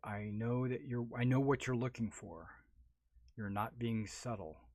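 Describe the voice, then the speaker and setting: A husky, put-on character voice at a moderate pace. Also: man, medium pitch for a man. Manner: knowing, flirtatious.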